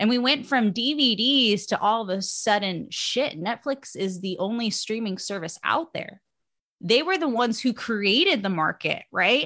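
In an American accent, a woman with a bright, sharp tone and a fairly high pitch speaks at a fairly slow pace. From Bay Area, California. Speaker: podcaster and nanny. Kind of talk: casual chat. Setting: remote call from home.

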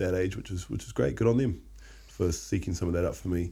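Very fast and marked by vocal fry, the voice has a dark, mellow tone with an Australian accent. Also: man. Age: 30s. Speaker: podcast co-host. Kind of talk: casual chat.

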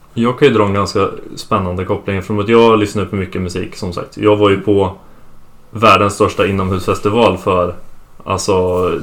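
This is an ordinary speaking voice at a moderate pace. Its intonation is fairly even. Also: man. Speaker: host's son, guest. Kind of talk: casual family conversation.

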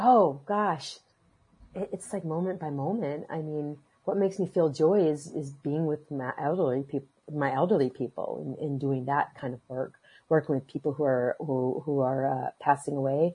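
At a moderate pace, a woman speaks in a very deep, low pitch that is somewhat breathy, with ordinary pitch variation. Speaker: caregiver for elderly and dying people. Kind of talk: casual chat. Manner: halting, many repetitions.

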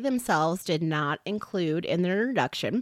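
A woman speaks with a bright, sharp tone at medium pitch and ordinary pitch variation. The recording is very clean, with a silent background. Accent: Chicago-area. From northwest Indiana. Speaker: podcast co-host. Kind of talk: casual podcast chat. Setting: home basement recording.

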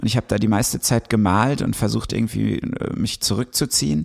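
With a plain, everyday voice, a man speaks fairly quickly at a medium pitch, the sound dry and close with no echo. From western Germany (Ruhr area, Recklinghausen). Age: 30s. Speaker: novelist and musician. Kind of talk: casual chat.

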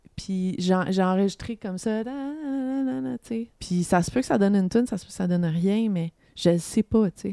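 A woman speaks at a medium pitch and a moderate pace, her tone dark and mellow with lively intonation. The recording is very clean and dry, close up with no echo and a silent background. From Montreal area, Quebec. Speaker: singer-songwriter. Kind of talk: casual interview chat.

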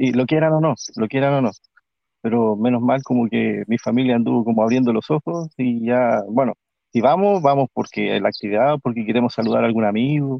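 In an ordinary speaking voice, a man talks at a fairly quick pace with medium pitch, ordinary pitch variation and very even loudness. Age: 40s. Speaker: longtime church member and former missionary. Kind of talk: personal testimony in casual chat.

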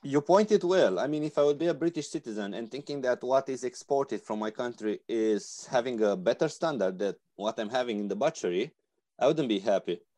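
A man with a Romanian accent speaks fairly quickly in a dark, mellow, medium-pitched voice with lively intonation. The background is quiet, and the sound is dry and close with no echo. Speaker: veterinarian, resource manager. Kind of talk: panel discussion.

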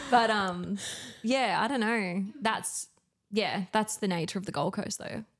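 Speaking at a fairly slow pace, this woman is heard. She talks with an Australian accent. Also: medium pitch for a woman, ordinary pitch variation. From Australia, Newcastle NSW. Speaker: community organiser, mother. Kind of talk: casual chat. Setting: home studio.

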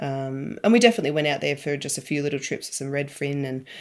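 An Australian accent on a very clean recording with a silent background. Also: woman. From Victoria, Australia. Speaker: angler, mum. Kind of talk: casual interview chat.

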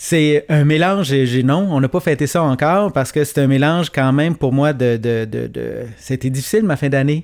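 This is a plain, everyday voice at a moderate pace. There are hardly any pauses. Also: man, fairly high pitch for a man, ordinary pitch variation. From Quebec, Gaspésie. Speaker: teacher turned entrepreneur. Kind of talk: casual chat.

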